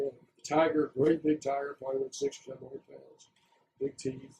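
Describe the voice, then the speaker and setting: With a fairly high pitch and a somewhat breathy, dark, mellow tone, a man speaks at a fairly quick pace with fairly even intonation. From US South, Florida (Bradenton). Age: 70s. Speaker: oral history interviewee. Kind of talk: oral history interview. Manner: casual storytelling.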